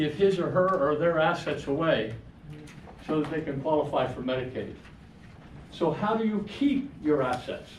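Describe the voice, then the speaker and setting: A man's fairly high voice at a moderate pace, with ordinary pitch variation, audible room echo and noticeable background noise. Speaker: financial seminar presenter. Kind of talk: seminar presentation. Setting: room with live audience.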